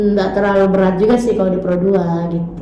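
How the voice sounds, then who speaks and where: A woman at a moderate pace, amid noticeable background noise and audible room echo. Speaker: radio announcer. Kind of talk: casual interview. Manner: relaxed, casual.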